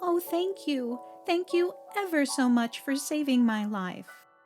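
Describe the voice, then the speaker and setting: Faint music plays in the background as a woman uses a squeaky, put-on character voice, high-pitched with very wide pitch swings, at a fairly slow pace. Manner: grateful.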